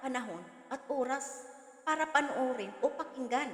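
A woman speaks loudly at a high pitch with a Visayan accent. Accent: Visayan accent in Tagalog. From Visayas, Philippines. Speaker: vlogger. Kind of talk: reaction vlog commentary. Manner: loud, forceful.

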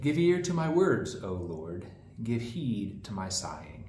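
Speaking at a very slow pace, a man with a fairly low pitch is heard over light background noise with audible room echo. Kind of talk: scripture reading. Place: home room. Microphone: camera far.

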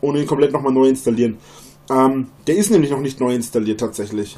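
Moving fairly quickly, a man's speech shows ordinary variation in pitch. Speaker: live streamer. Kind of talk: casual livestream chat. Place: home room.

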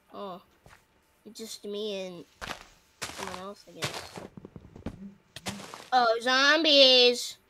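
A woman talks at a very slow pace with long, frequent pauses, lively intonation and big swings in loudness over noticeable background noise. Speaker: friend playing the game along; streamer. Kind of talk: casual gameplay chat. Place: home room.

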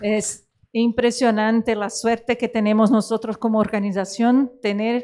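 This woman talks at a fairly slow pace in a Portuguese accent, with a fairly high pitch. Her tone is dark and mellow, and her intonation stays monotone and flat. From Brazil. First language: Portuguese (speaking Spanish). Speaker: opera festival director; panelist. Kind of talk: closing remarks at a conference. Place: hall. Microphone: handheld.

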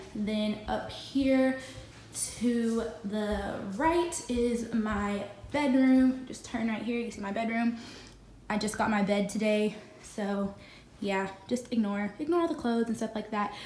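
Audible room echo and light background noise surround the recording. A woman speaks at a fairly slow pace with ordinary pitch variation. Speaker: vlogger. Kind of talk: casual vlog chat. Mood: upbeat, pleased. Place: home room. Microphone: phone near.

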